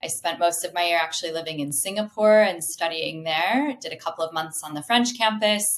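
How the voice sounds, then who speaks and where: In an American accent, a woman uses an ordinary speaking voice at a fairly low pitch, with lively intonation and a moderate pace. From US Midwest, Indianapolis. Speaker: customer success professional. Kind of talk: podcast interview.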